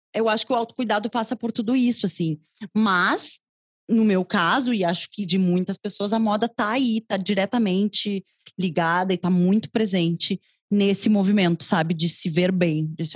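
A woman talks at a moderate pace, somewhat breathy, with ordinary pitch variation. The sound is dry and close, with no echo. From southern Brazil, Rio Grande do Sul (Porto Alegre). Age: 30s. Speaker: fashion journalist and consultant. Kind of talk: interview conversation. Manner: talkative, long flowing answers.

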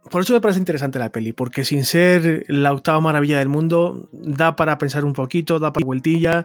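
A plain, everyday voice from a man, fairly high in pitch with ordinary pitch variation, at a fairly quick pace with hardly any pauses. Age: 40s. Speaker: journalist and film commentator. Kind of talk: casual chat.

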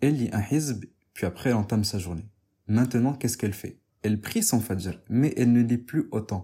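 On a very clean recording with a silent background, a man speaks fairly quickly at a medium pitch, somewhat breathy, with a dark, mellow tone and ordinary pitch variation. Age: 20s. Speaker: podcast host, religious talk. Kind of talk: religious talk.

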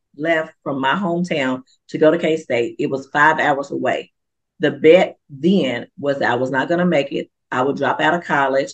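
A woman's very deep, low voice with an animated tone, ordinary pitch variation, and a dry, close sound with no echo. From western Kentucky. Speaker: author and preacher. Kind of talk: interview.

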